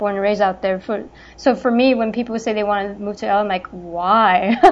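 With a Californian accent, a woman speaks at medium pitch with fairly even intonation. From Los Angeles, California. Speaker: podcast co-host. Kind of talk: casual chat.

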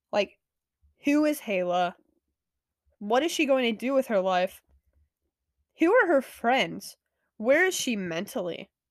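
This woman's fairly high voice moves through very wide pitch swings at a fairly slow pace, with long, frequent pauses. The recording is very clean, the background silent. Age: 20s. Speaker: podcast host, college student. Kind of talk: casual monologue. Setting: lying in bed at home. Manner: chatty, sighing and yawning.

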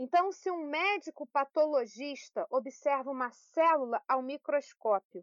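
Her pitch sits high. This woman talks at a fairly slow pace. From Brazil, Petrópolis (Rio de Janeiro state). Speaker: sociology teacher. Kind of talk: interview.

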